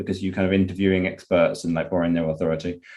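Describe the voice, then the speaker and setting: A man with a British accent speaks at a fairly low pitch over a quiet background. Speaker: podcast host. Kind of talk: podcast interview.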